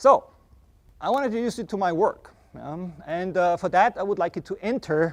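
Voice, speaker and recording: A loud man speaks in a high voice with an Austrian accent. The sound is dry and close, with no echo. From Austria, Vienna. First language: German. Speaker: artist and university professor. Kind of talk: lecture. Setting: classroom with students. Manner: loud, projecting to the room.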